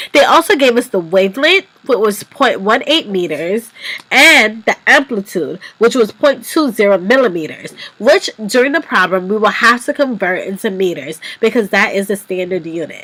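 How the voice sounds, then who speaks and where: Her fairly high voice swings very widely in pitch as this woman talks at a moderate pace over noticeable background noise. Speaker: physics tutorial presenter. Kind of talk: tutorial.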